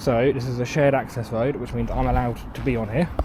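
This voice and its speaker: A man talking at a very fast pace with very wide pitch swings, amid noticeable background noise and audible room echo. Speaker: YouTube auditor. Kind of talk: vlog narration. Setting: outdoors. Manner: trying to speak louder. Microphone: usually quiet recordings.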